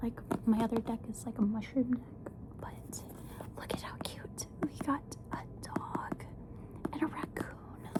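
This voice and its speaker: Against noticeable background noise, a woman speaks at a fairly slow pace with a fairly high pitch. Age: 20s. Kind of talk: ASMR tarot video for sleep, casual talk to camera.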